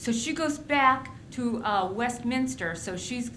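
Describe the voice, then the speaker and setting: A woman speaks fairly slowly in a high pitch, with an animated tone and lively intonation. Noticeable background noise and audible room echo surround her. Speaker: history lecturer. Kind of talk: lecture.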